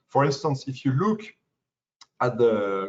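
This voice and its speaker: Speaking with a French accent, a man talks at a fairly slow pace and a medium pitch in a somewhat breathy voice. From France. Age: young. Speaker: pain medicine fellow. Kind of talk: lecture. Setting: webinar. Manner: halting.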